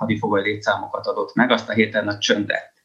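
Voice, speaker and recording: A man is speaking. His pitch is fairly low. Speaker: military historian. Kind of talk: panel discussion.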